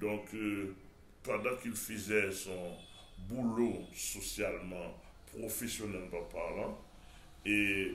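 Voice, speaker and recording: Amid audible room echo, a man speaks very slowly at a fairly low pitch, in a monotone, flat intonation with long, frequent pauses. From Haiti. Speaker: pastor. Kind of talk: TV interview. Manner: halting, many repetitions.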